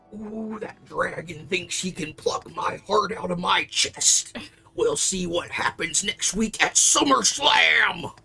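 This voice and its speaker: Someone does a put-on character voice, strained and at a middle pitch, moving at a fairly slow pace. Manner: wrestler promo bravado.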